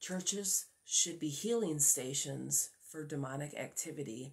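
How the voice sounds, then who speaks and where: Against a quiet background, the speaker sounds somewhat breathy. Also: woman. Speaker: religious vlogger. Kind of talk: casual religious vlog talk. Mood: earnest, preaching tone. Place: home room. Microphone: phone near.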